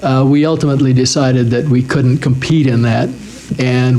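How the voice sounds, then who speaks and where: Noticeable background noise sits under a man speaking in a monotone with flat intonation. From Wyoming. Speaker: cable television executive. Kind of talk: oral history interview answer.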